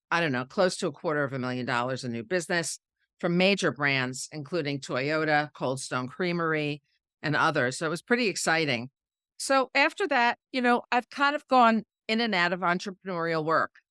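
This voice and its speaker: A woman with a New York accent, fairly low in pitch yet bright and sharp in tone, fairly quick, with very wide pitch swings, in a very clean recording with a silent background and a dry, close sound with no echo. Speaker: PR consultant and entrepreneur. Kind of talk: interview conversation. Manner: repeats words when starting sentences.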